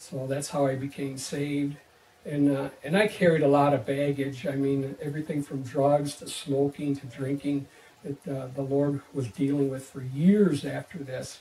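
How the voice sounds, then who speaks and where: A fairly high-pitched man's voice at a moderate pace, with noticeable background noise. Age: 50s. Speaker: teacher giving church testimony. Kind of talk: testimony. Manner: halting, many fillers and restarts.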